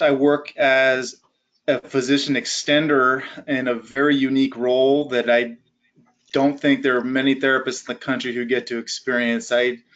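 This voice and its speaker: At a moderate pace and medium pitch, a man talks in a plain, everyday voice. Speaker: physical therapist. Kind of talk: lecture.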